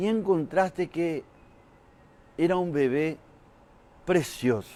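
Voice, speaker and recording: A man with a Paraguayan accent, fairly high pitch, ordinary pitch variation and a fairly slow pace. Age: 60s. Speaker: comedian. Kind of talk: stand-up.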